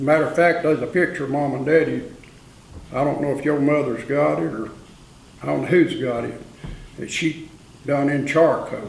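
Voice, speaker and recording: With an Appalachian accent, a man speaks at a moderate pace with long, frequent pauses, a fairly high pitch and ordinary pitch variation, amid noticeable background noise and audible room echo. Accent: Appalachian Southern US. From Saluda, western North Carolina. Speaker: oral history interviewee. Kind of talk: oral history interview. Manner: casual storytelling.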